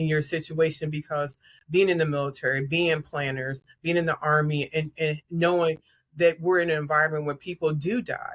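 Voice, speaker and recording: Here a woman uses a very deep, low pitch and an American accent, sounding somewhat breathy. Her intonation is fairly even and her pace moderate. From Chicago, US Midwest. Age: 60s. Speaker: Army veteran and widow advocate. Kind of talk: casual chat. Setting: podcast interview.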